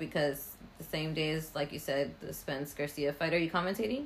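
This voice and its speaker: Animated in tone, a woman with a very deep, low pitch talks at a fairly quick pace. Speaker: podcast host. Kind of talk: casual chat interview. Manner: animated, joking.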